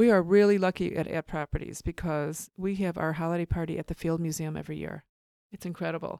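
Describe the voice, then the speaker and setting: A woman's fairly low, dark, mellow voice in a monotone, flat delivery at a fairly quick pace, dry and close with no echo, in a very clean recording with a silent background. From Chicago area. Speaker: real estate broker. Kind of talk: interview.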